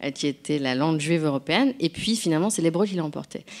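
At a moderate pace, a woman talks with lively intonation in a very deep, low pitch. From France. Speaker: novelist and translator. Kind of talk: public conversation. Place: hall.

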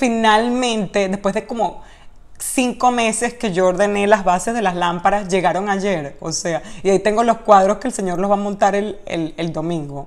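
A woman talks in an animated tone at a medium pitch. Her pace is moderate and her pitch varies in an ordinary way. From Latin America. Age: 30s. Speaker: actress and YouTuber; actress, YouTuber. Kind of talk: casual Q&A vlog. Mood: cheerful, laughing. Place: home room. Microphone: webcam.

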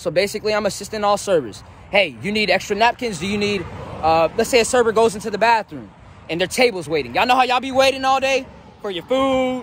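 A man talks at a very fast pace with lively intonation. The sound is dry with no echo, over light background noise. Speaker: new restaurant worker vlogger. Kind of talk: casual vlog chat. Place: street. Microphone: phone near.

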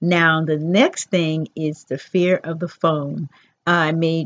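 A woman with a very deep, low pitch speaks at a fairly slow pace and with fairly even intonation. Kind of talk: casual vlog chat. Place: home room. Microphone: headset.

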